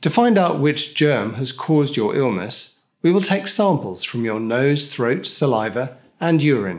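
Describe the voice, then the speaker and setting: Against a quiet background, a man speaks at a fairly slow pace. His pitch swings very widely. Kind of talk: scripted explainer. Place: studio.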